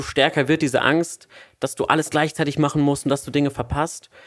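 A man with a plain, everyday voice, fairly high in pitch, speaks with fairly even intonation in a very clean recording with a silent background. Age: 20s. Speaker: podcast host, student. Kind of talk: casual chat.

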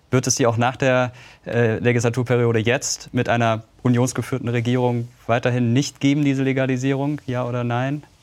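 A man speaks at a moderate pace in a flat monotone. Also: medium pitch for a man. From Karlsruhe, Baden. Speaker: youth interviewer. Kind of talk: political interview. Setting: studio.

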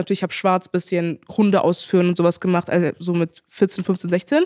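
The speaker is a woman. Her recording is very clean and the background silent. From Germany, Heidelberg. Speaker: social media influencer. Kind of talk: casual chat.

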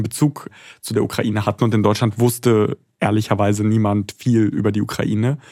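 A man speaks in an ordinary speaking voice at a fairly low pitch with fairly even intonation. The recording is very clean, with a silent background. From Germany. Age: 20s. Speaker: foreign correspondent. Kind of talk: interview.

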